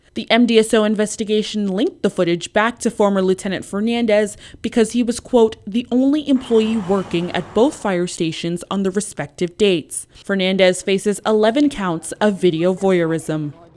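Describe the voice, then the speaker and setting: In an ordinary speaking voice, a woman talks at a moderate pace with ordinary pitch variation and hardly any pauses. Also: medium pitch for a woman. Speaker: TV news reporter. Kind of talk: news report.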